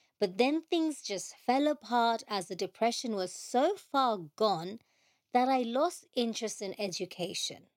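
At a fairly slow pace, a woman with a normal speaking voice talks at a fairly high pitch with lively intonation, on a very clean recording with a silent background. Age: 40s. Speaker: podcast host, patient advocate. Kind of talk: personal testimony.

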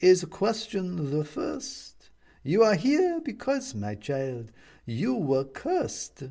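Putting on a creaky character voice, a man speaks very slowly at a high pitch.

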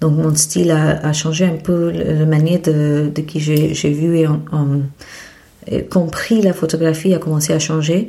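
A woman talks in a very deep, low pitch with monotone, flat intonation. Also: very even loudness. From India, Mumbai. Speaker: photobook publisher and photographer. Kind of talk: interview. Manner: halting.

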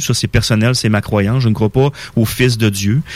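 The man's medium-pitched voice varies in an ordinary way as he moves along at a fairly quick pace. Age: 40s. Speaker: spiritual guest. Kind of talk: radio interview. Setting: radio studio.

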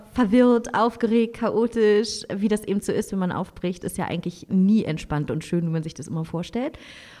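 At a moderate pace, a woman uses an ordinary speaking voice with a medium pitch and ordinary pitch variation. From Berlin, Germany. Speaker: traveling mother, van-life family. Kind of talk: casual interview.

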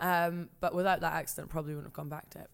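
Recorded very cleanly on a silent background, a woman speaks at a fairly low pitch. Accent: Scottish. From Scotland, rural Perthshire. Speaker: TV presenter. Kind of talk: casual chat. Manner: animated.

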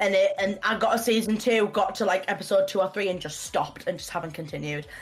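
A woman with a British accent at a very fast pace, noticeable background noise behind her. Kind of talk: casual chat. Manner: loud.

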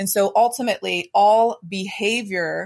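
A woman's ordinary speaking voice at a medium pitch with ordinary pitch variation, dry and close with no echo, on a very clean recording with a silent background. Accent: American. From US, Pittsburgh area, Pennsylvania. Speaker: mindset coach and financial advisor. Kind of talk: podcast interview.

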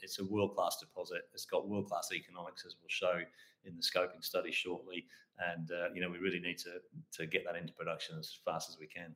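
A man speaks at a fairly quick pace with an Australian accent. His loudness swings widely. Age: 60s. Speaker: mining company founder and managing director. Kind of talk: interview. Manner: hesitant with many fillers.

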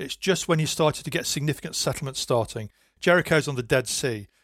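A man talks with lively intonation in a plain, everyday voice. The sound is dry and close with no echo on a very clean recording with a silent background. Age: 50s. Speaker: historian and archaeologist. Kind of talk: interview.

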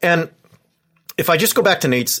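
Recorded very cleanly against a silent background, a man with an American accent uses an ordinary speaking voice, talking at a fairly quick pace with ordinary pitch variation. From Southern California, Orange County. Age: 40s. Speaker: professor. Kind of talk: casual chat.

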